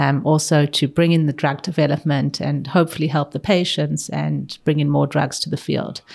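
The recording is very clean, with a silent background. The speaker has a South African accent. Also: woman. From South Africa (Pretoria), moved to Israel as a teen. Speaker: oncologist. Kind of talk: interview conversation.

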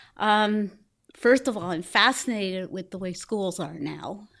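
In a very clean recording with a silent background, a woman with a plain, everyday voice speaks at a medium pitch and a fairly slow pace, with ordinary pitch variation. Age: 60s. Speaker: blind photographer and activist. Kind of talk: casual interview chat.

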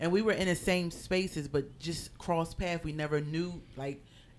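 A woman with an American accent has a fairly low pitch and an ordinary speaking voice. She talks at a moderate pace with ordinary pitch variation. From Philadelphia. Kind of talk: casual interview.

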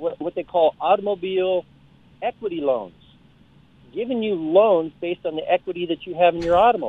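Speaking fairly quickly, a man with an American accent has a high-pitched voice. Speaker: caller. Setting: phone call.

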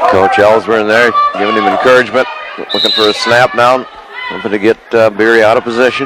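With noticeable background noise behind him, a man talks at a very fast pace with ordinary pitch variation. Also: medium pitch for a man. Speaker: wrestling play-by-play announcer. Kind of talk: live radio play-by-play commentary on a wrestling match. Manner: rapid-fire, breathless call of each move, with stumbles and self-corrections; energetic, repeating names and urging moves as the action unfolds.

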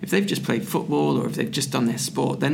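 The intonation is lively throughout. Noticeable background noise and audible room echo surround the voice. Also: man. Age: 40s. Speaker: strength and conditioning coach. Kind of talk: casual chat. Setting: conference venue.

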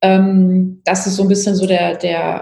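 A woman speaks at a medium pitch with noticeable background noise. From Palatinate, Germany. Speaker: politician. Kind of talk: interview.

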